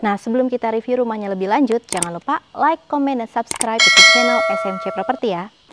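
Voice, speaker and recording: Music plays in the background. A woman speaks in an upbeat tone. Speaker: property sales presenter. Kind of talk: guided property walkthrough with sales pitch. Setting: on-site inside a house, video tour. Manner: upbeat, friendly, promotional; fluent, steady pace, narrating while walking.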